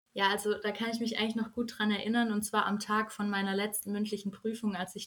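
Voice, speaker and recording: Talking at a fairly quick pace, a woman has a medium-pitched voice. Her intonation stays monotone and flat. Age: young. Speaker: journalism student, recent school graduate. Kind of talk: casual interview.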